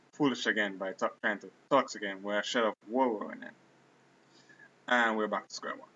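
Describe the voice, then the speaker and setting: A man with a Caribbean accent speaks at a moderate pace in a fairly low voice. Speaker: gaming commentator. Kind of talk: video game battle commentary. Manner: casual, self-deprecating.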